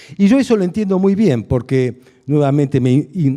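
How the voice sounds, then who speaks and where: Lively intonation marks this man's dark, mellow tone at a moderate pace. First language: Hungarian (speaking Spanish). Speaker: philosophy lecturer. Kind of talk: lecture. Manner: halting, many fillers.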